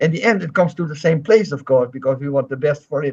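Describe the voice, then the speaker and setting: The speaker is a man with a fairly high pitch. There is a somewhat breathy quality to his voice. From Netherlands. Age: 70s. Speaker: taekwondo grandmaster. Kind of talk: interview. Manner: halting, with self-corrections.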